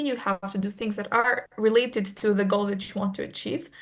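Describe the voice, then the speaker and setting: Her fairly high pitch stays fairly even in intonation. This woman has an ordinary speaking voice. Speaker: student trainer in a medical students' association. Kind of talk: online training presentation.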